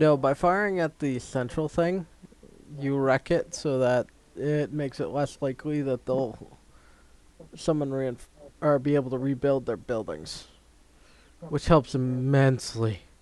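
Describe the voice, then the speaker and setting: A man with a fairly high pitch mumbles his words. He leaves long, frequent pauses. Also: ordinary pitch variation, fairly slow pace. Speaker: gaming streamer. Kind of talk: live gameplay commentary. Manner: mumbling to himself; casual, halting.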